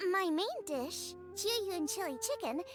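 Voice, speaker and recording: Putting on a character voice, a woman speaks at a moderate pace with faint music in the background. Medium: video game. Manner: lively, explanatory.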